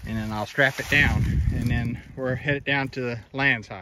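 This man talks at a fairly slow pace in a bright, sharp, medium-pitched voice with ordinary pitch variation.

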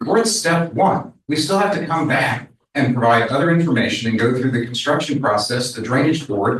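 A man's normal speaking voice, medium pitch, lively intonation, fairly quick pace and hardly any pauses. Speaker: project developer representative. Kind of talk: public meeting testimony.

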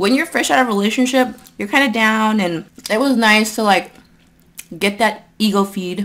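This woman's pace is moderate, and her pitch varies in an ordinary way. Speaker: eating vlogger. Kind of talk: casual vlog chat. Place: home room.

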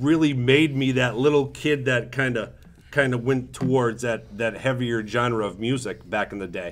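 A man with an ordinary speaking voice talks at a medium pitch and a moderate speed, his pitch varying in an ordinary way. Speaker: podcast co-host. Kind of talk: casual chat.

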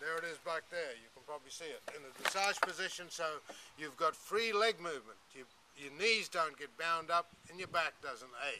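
A high-pitched man speaks at a moderate pace with ordinary pitch variation and big swings in loudness. Noticeable background noise runs underneath. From Australia. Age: 60s. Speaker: saddle maker and business owner. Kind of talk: sales pitch. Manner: casual. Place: open country.

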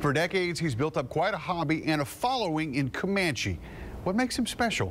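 A fairly quick pace over light background noise. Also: man. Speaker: news anchor. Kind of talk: TV news intro. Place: studio.

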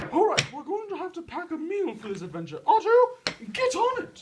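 A put-on character voice at an extremely high pitch and moderate pace. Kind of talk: comic overacting. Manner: fussy, dramatic, complaining.

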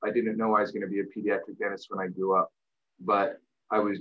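Against a quiet background, a man with a fairly low pitch speaks at a fairly quick pace. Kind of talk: interview answer. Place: home room. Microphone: webcam.

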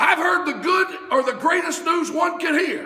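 Shouting in a raised, projected voice at a fairly slow pace, a man reaches an extremely high pitch, with audible room echo. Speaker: preacher. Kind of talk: revival-style sermon building to a call-and-response crescendo. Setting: church. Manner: rhythmic, repetitive wordplay hammering a phrase for emphasis; fervent and rousing, punctuated by amens and urging shouts. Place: church. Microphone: camera far.

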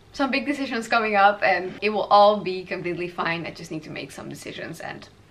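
A woman speaks at a fairly quick pace with a fairly bright tone. Room echo is audible. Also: medium pitch for a woman, ordinary pitch variation.

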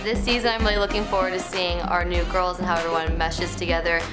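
A woman talks at a very fast pace. Clear music plays behind her. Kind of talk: interview answer. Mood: cheerful, smiling.

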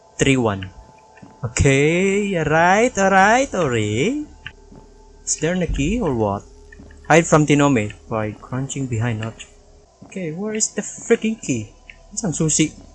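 Faint music plays behind a man who talks at a fairly slow pace with long, frequent pauses, the sound dry with no echo. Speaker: gamer streamer. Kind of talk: gameplay commentary. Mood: nervous, startled, playful. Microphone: studio mic.

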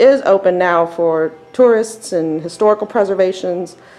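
Normal pitch movement in a woman's speech. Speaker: tour guide explorer. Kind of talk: casual narrated tour. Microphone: phone near.

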